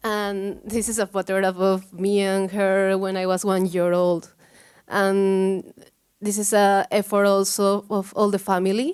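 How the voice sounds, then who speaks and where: On a very clean recording with a silent background, a woman with a Peruvian accent speaks fairly slowly at a medium pitch, her intonation monotone and flat. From Peru, Cusco. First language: Spanish. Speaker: photography researcher. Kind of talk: conference talk. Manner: halting.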